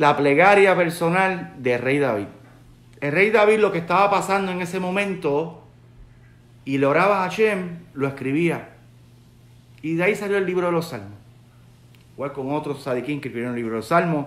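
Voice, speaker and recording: A man with a Puerto Rican accent speaks at a high pitch with lively intonation and a moderate pace. There are long, frequent pauses and audible room echo. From Puerto Rico. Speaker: rabbi. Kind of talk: sermon. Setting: live video stream, online. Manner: conversational, searching for words. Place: home room. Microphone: phone near.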